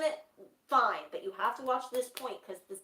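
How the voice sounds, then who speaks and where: A raised, projected voice moves at a moderate pace with lively intonation. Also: woman. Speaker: streamer chatting with sister-in-law. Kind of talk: casual chat. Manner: mumbling.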